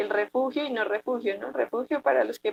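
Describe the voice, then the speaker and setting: In an ordinary speaking voice, a woman talks at a moderate pace with lively intonation, the sound dry and close with no echo. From Bogotá, Colombia. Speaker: poet. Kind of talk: interview answer.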